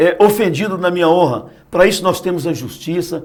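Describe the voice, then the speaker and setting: A man's voice, high-pitched. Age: 60s. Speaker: politician, state deputy and physician. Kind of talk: TV interview. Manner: halting, many repetitions and fillers.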